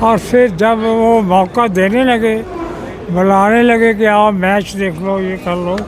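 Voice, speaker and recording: Amid noticeable background noise and audible room echo, a man speaks in a high voice with fairly even intonation. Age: 80s+. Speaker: partition survivor. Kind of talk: interview.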